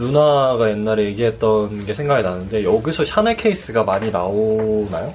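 At a moderate pace with hardly any pauses, a man speaks at a fairly low pitch with ordinary pitch variation, with noticeable background noise behind him. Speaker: podcast co-host. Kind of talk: casual chat; scripted narration. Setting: studio. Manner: giggly.

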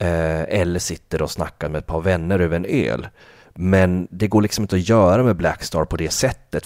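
A man speaks at a moderate pace with a very deep, low pitch and ordinary pitch variation. The recording is very clean with a silent background and a dry, close sound with no echo. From northern Sweden (Kalix, Norrbotten). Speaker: podcast host, music enthusiast. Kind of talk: casual chat about music albums.

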